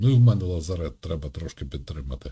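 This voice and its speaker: A man speaks fairly quickly in a very deep, low voice with a dark, mellow, somewhat breathy tone. His intonation is lively. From Ukraine. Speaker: video chat streamer. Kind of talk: casual chat.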